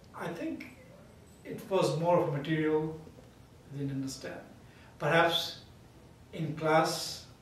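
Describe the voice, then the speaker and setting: With noticeable background noise and audible room echo, a man speaks at a fairly slow pace and fairly high pitch in a monotone, flat manner, with big swings in loudness and long, frequent pauses. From India. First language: Indian language. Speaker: math professor. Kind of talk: interview.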